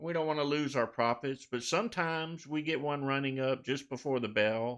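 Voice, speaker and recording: A man speaks at a moderate pace in a normal speaking voice, fairly high-pitched with ordinary pitch variation. The background is quiet. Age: 60s. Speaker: stock trading live streamer. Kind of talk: live stream tutorial. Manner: casual.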